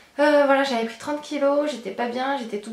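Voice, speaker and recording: Through audible room echo and noticeable background noise, a woman talks at a very fast pace with fairly even intonation. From France, Charente (Angoulême). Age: 20s. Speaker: beauty and lifestyle vlogger. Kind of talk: Q&A vlog. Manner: hesitant, many fillers.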